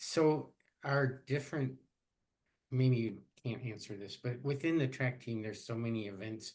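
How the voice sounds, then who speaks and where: Here a man with a plain, everyday voice speaks at medium pitch with ordinary pitch variation. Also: moderate pace. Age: 60s. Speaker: podcast host, retired professor. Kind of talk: casual interview chat.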